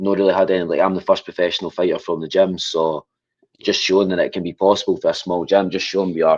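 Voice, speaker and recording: A man speaks with a strong Scottish accent. His pace is very fast. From Scotland, Falkirk. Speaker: MMA fighter. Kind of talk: interview.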